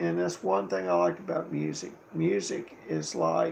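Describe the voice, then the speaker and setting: A man speaks at a fairly slow pace. Noticeable background noise runs under him. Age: 70s. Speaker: livestreamer and guitarist. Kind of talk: casual livestream monologue. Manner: rambling, halting.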